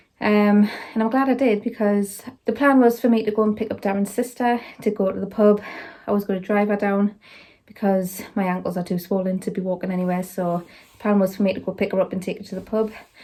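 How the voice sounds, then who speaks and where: A woman at medium pitch with a dark, mellow tone, fairly even intonation and a very fast pace. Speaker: vlogger. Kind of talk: casual vlog chat.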